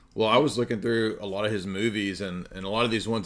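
The man's voice is fairly low in pitch, with a bright, sharp tone. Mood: joking, laughing. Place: home room.

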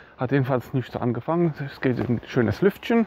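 Over light background noise, a man speaks at a fairly quick pace with ordinary pitch variation in a dry sound with no echo. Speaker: hiker vlogger. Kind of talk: casual vlog chat. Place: open country. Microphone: phone near.

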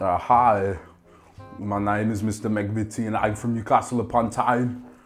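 Over faint background music, the speech moves at a fairly slow pace in a flat monotone. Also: man, fairly low pitch for a man. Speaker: game show contestant, dinner party host. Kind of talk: scripted comedy monologue. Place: home room.

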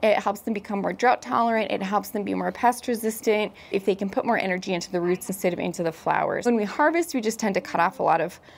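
A woman with vocal fry talks at a very fast pace with hardly any pauses and ordinary pitch variation. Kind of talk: casual vlog chat. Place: garden. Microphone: lapel.

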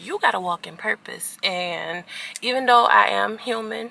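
Dry sound with no echo, from a woman. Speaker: vlogger. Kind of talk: casual vlog chat. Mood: earnest, motivational. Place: car. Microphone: phone near.

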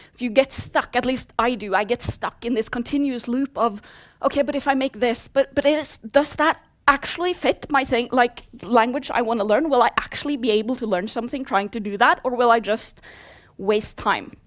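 A high-pitched woman's voice with a Norwegian accent and ordinary pitch variation, over a quiet background. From Norway. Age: 30s. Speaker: software developer; conference speaker. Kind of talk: conference talk. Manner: fast. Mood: humorous, lively. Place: hall.

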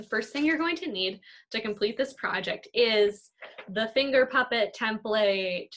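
At a moderate pace, a woman talks in a bright, sharp tone against a quiet background. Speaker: art teacher. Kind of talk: tutorial. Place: kitchen. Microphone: webcam.

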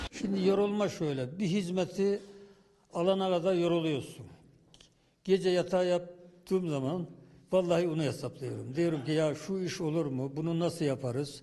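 The tone is dark and mellow. Pitch varies in an ordinary way at a moderate pace. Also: man, high pitch for a man. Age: 70s. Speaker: village headman. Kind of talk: interview answer.

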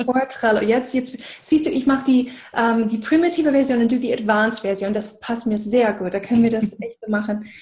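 Someone with an English accent speaks at a fairly quick pace. Pitch variation is ordinary, and the background is quiet. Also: woman. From USA. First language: English (speaking German). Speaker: business coach. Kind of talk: casual chat. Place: home room. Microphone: video call.

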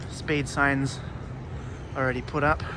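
Against noticeable background noise, a man's voice sounds dry, with no echo. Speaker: rail vlogger. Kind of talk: casual vlog chat. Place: street. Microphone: phone near.

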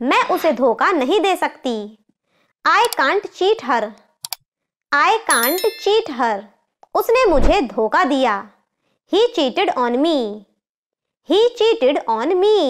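A woman's extremely high voice moves in very wide pitch swings, broken by long, frequent pauses. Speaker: English teacher. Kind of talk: tutorial. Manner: slow.

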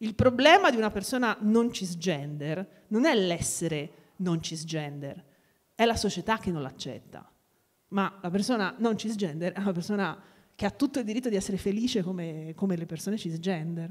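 A woman's voice with lively intonation, at a moderate pace over a quiet background. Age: 40s. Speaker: sociolinguist; guest. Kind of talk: talk at a live event. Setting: stage with audience. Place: hall. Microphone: handheld.

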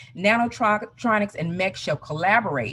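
Over light background noise, a woman talks at a moderate pace with very wide pitch swings. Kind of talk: conference presentation. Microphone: video call.

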